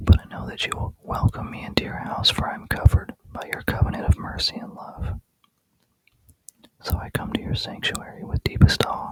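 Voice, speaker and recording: At a moderate pace, a man talks in a whisper. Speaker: Bible reader. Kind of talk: ASMR scripture reading. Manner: whispered.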